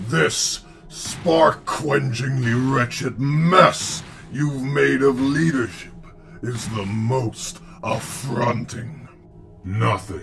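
A put-on character voice at a very slow pace, with clear background noise. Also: man, medium pitch for a man. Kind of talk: comic dub performance. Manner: mocking, contemptuous, measured.

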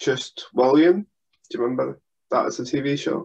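A man is speaking. The background is quiet. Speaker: podcast co-host. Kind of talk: casual conversation, storytelling. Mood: amused, laughing while telling. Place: home room.

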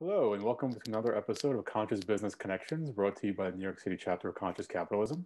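A man speaks very fast in a fairly low, dark and mellow voice with ordinary pitch variation over light background noise. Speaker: podcast interviewer. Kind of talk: interview. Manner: uses filler words. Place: home room. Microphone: video call.

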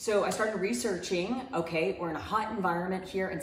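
A woman at a fairly quick pace, with ordinary pitch variation, audible room echo and light background noise. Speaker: home gardening vlogger. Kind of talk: casual vlog chat. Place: home room.

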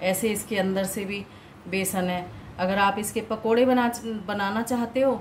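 A woman at a fairly slow pace, ordinary pitch variation, light background noise. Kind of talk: tutorial. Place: kitchen. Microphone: phone near.

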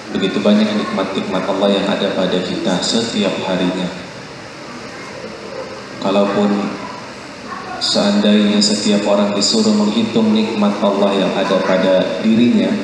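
A man's fairly slow, flat monotone at a very even loudness, with strong room echo and noticeable background noise. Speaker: religious teacher. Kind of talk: sermon. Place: hall.

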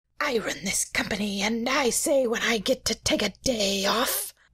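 A raspy, put-on character voice with fairly high pitch moves at a moderate pace. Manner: bossy, mock-stern.

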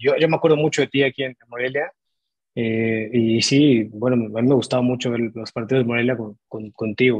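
Against a quiet background, a man speaks in a Mexican accent. His pace is moderate and his intonation fairly even. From Mexico. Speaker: sports podcast co-host. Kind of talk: interview. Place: home room. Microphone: earbuds.

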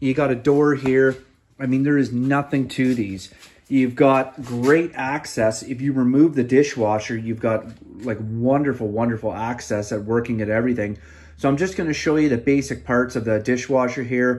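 A man speaks at a moderate pace. His intonation stays fairly even. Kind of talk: tutorial. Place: home room. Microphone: phone near.

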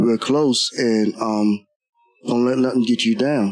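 A man's voice with fairly even intonation, music in the background. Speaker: interviewee. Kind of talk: interview answer. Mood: somber, emotional recollection. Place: shop. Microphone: handheld.

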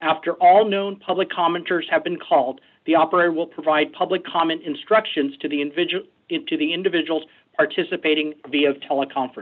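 Fairly quick pace against a quiet background. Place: office. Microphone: video call.

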